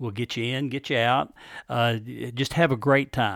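A man speaks at a moderate pace in an ordinary speaking voice with a medium pitch and ordinary pitch variation. The recording is very clean, with a silent background. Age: 60s. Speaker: prostate cancer survivor. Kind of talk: casual interview chat.

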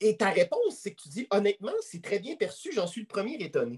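This is a man's voice. It sounds dry and close, without any echo. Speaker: podcast host. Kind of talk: interview.

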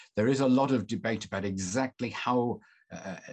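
A man with a Mancunian accent and ordinary pitch variation, set against a quiet background. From northern England, Manchester. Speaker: journalist and author. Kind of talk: interview.

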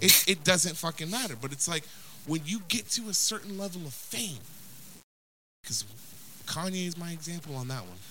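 Moderately paced but broken by long, frequent pauses, a man's high-pitched voice has a bright, sharp tone, ordinary pitch variation and big swings in loudness. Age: 30s. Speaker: podcast co-host. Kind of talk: casual chat.

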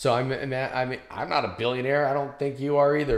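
There is audible room echo as a man talks at a very fast pace with a medium pitch. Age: 50s. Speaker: podcast host. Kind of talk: interview.

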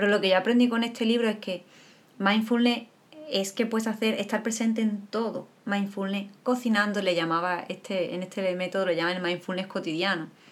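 Her intonation stays fairly even at a moderate pace. The woman speaks at medium pitch. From Andalusia, Spain. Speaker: podcast co-host. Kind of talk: casual chat.

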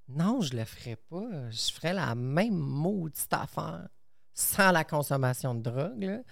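A woman's very deep, low voice with lively intonation, on a very clean recording with a silent background. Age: 30s. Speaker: airline medical assistance worker. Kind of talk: casual chat.

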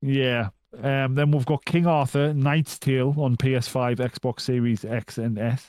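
A man's medium-pitched voice at a fairly slow pace, with fairly even intonation, very even loudness, and a dry, close sound with no echo. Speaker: video game podcast co-host. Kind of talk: casual chat. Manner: laconic.

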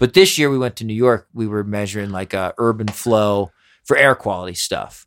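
A man with an American accent talks at a moderate pace in a plain, everyday voice, fairly low in pitch with ordinary pitch variation, in a dry, close recording with no echo. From US Northeast. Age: 40s. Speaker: podcast host and musician. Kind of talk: casual chat. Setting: studio.

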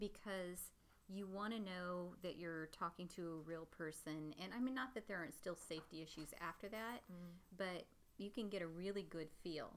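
A woman speaks in a plain, everyday voice with a fairly low pitch. Her pace is moderate, with ordinary pitch variation. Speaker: podcast host. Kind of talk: casual chat.

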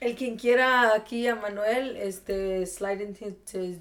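A woman speaks very slowly at a medium pitch, her intonation fairly even. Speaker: podcast co-host. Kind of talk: casual chat.

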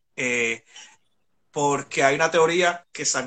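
A man's bright, sharp tone at a very slow pace, with fairly even intonation. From Puerto Rico, San Juan metro area. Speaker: historian and songwriter. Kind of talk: casual history discussion on a live stream. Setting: live online video stream.

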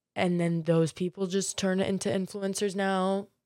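A woman speaks with an American accent. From US South, Florida (Marco Island). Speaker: podcast host. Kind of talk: casual monologue. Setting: in bed.

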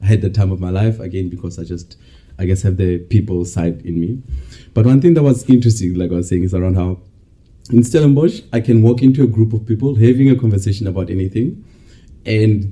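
A man's fairly low, dark and mellow voice, somewhat breathy, at a fairly quick pace. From South Africa (Bloemfontein). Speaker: MBA student. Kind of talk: casual chat.

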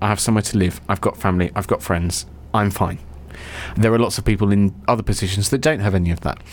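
This man has a fairly low voice with ordinary pitch variation and a southern English accent. He talks at a very fast pace. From English south coast. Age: young. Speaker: podcast co-host. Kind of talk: casual chat. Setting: studio. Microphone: mic sound problems at the beginning.

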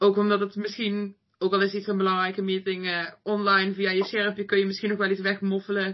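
Speaking at a fairly quick pace, a woman uses a medium-pitched voice. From Netherlands, North Brabant. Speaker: master's student, student party vice-chair. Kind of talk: casual interview. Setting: studio.

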